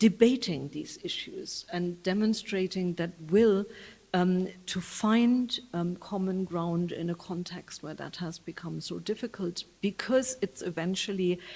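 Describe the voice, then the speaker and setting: A woman with a German accent speaks at a fairly slow pace in a somewhat breathy, medium-pitched voice, her pitch varying in an ordinary way while her loudness swings widely. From Germany. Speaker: UN official. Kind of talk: public talk. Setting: public event with audience. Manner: halting, many fillers.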